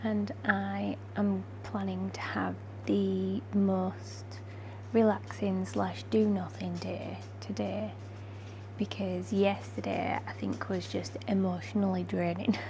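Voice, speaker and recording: Quiet and somewhat breathy, a woman with a British accent speaks at a very slow pace in a very deep, low pitch and monotone, flat intonation, with audible room echo. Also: dark, mellow tone. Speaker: vlogger. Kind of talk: vlog chat.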